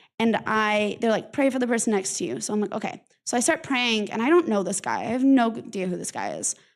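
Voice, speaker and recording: On a very clean recording with a silent background, a woman talks fairly quickly at a fairly high pitch with ordinary pitch variation. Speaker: church member sharing testimony. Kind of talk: testimony. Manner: halting.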